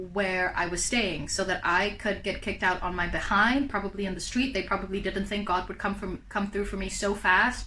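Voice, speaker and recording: A woman at a medium pitch talks at a fairly quick pace with fairly even intonation and hardly any pauses, over noticeable background noise. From South Africa. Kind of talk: casual storytime talk to camera.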